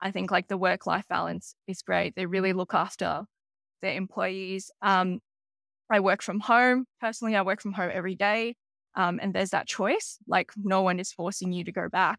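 A woman with an Australian accent speaks at a moderate pace and a medium pitch. The recording is very clean, with a silent background and a dry, close sound with no echo. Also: fairly even intonation. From Sydney, Australia. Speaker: business strategy analyst. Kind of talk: podcast interview.

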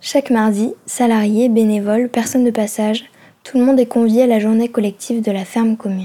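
A woman speaks fairly quickly in a fairly high pitch. Her tone is dark and mellow, and her intonation stays flat and monotone. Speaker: student podcast reporter. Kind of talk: scripted narration.

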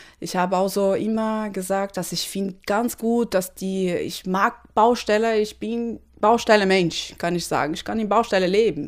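Speaking at a fairly slow pace, a woman with a Portuguese accent keeps a medium pitch and fairly even intonation. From Brazil, Recife. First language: Portuguese (speaking German). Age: 30s. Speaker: electrical engineer. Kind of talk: interview. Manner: non-native, halting German.

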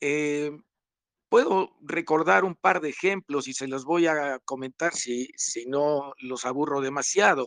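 A man with fairly high pitch at a very slow pace, in a dry, close sound with no echo. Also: ordinary pitch variation. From Mexico City. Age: 70s. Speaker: playwright. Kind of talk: casual panel discussion.

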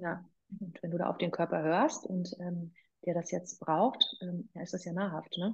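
At a fairly slow pace, a woman talks with a fairly low pitch, fairly even intonation and a somewhat breathy sound. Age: 40s. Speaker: personal trainer and former radio presenter. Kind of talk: casual interview.

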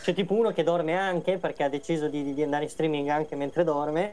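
A dark, mellow tone moves at a fairly quick pace with fairly even intonation. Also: man. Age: 30s. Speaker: gamer and social media guest. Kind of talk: casual chat.

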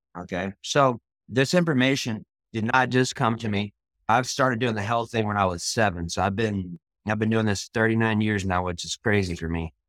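An animated, enthusiastic man with an American accent speaks at a fairly low pitch with ordinary pitch variation, in a very clean recording with a silent background and a dry, close sound with no echo. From Austin, Texas. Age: 40s. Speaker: author and speaker. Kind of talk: motivational talk. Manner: fast talker.

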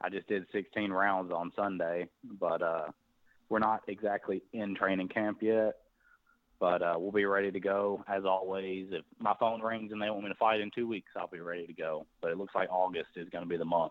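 Speaking in a Tennessee accent, a man uses a fairly low pitch and monotone, flat intonation at a moderate pace. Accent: Southern US (Tennessee). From US South, Tennessee (near Nashville). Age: 20s. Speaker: professional boxer. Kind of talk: interview.

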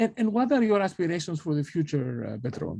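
A man with a Greek accent has a dark, mellow, somewhat breathy voice in a dry, close sound with no echo. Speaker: professor. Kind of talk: interview. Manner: halting.

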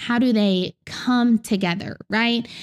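Recorded dry and close with no echo and a very clean, silent background, a woman speaks in a fairly high pitch with a Southern US accent. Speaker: Bible teacher, podcast host. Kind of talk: teaching lecture on the Bible. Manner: earnest, instructive.

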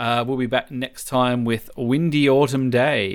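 Recorded very cleanly with a silent background, a man in an Australian accent speaks at a moderate pace with a medium pitch and ordinary pitch variation. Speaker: podcast host. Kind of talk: casual chat.

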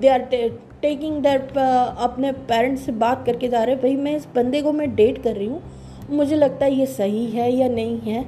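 Her voice is high-pitched, with a dark, mellow tone and fairly even intonation. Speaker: podcaster. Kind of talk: casual monologue. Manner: pauses often.

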